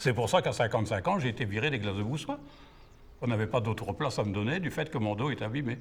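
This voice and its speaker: Slightly breathy and very fast, a man speaks at a medium pitch with lively intonation. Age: 70s. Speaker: retired glass factory worker. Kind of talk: testimony.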